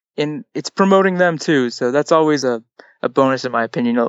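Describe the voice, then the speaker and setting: A normal speaking voice from a man, fairly high-pitched, moderate in pace, ordinary in pitch variation. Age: 20s. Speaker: comic book writer. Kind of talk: casual chat.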